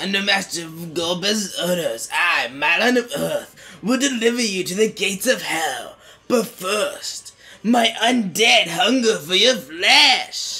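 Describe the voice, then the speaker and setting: Putting on a character voice, a man speaks at a high pitch and a fairly slow pace. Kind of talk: stylized villain voice. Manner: menacing, dramatic.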